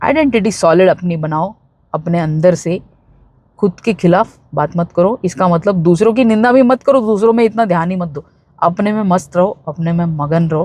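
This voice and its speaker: A woman with a Bombay accent speaks in a fairly low, somewhat breathy voice with a dark, mellow tone. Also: ordinary pitch variation. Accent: Bombay street Hindi, self-described. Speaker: spiritual self-help YouTuber. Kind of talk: motivational talk. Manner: casual, with fillers.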